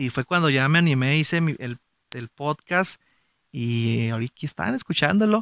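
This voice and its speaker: A man with a northern Mexican accent speaks at a fairly high pitch with lively intonation, and the sound is dry and close with no echo. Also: moderate pace. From Mexico, Gómez Palacio, Durango (Comarca Lagunera). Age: 30s. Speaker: podcast host. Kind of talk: motivational monologue.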